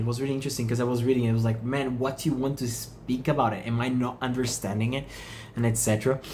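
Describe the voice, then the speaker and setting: A man speaks in a somewhat breathy voice with a non-native accent. The room echo is audible. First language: not English. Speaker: meditation channel host. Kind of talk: reflective monologue. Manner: halting.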